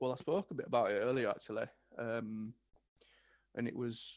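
A man's medium-pitched voice with a Yorkshire accent and fairly even intonation. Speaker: guest, business owner and musician. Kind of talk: casual interview chat.

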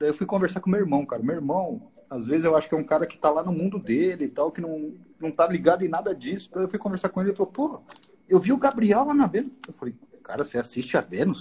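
Lively intonation marks this man's speech. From São Paulo, East Zone (Brazil). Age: 40s. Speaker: businessman, former company president. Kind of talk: casual chat.

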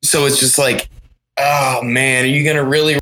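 Recorded with a dry, close sound and no echo, a man with an American accent and a fairly high pitch speaks at a fairly slow pace in a bright, sharp tone. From Pennsylvania, US. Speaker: band guitarist. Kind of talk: casual chat. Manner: animated.

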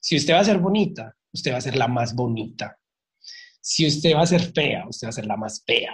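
A somewhat breathy, fairly high-pitched male voice at a moderate pace. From Colombia, Medellín. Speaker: drag artist and makeup teacher. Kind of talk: casual interview.

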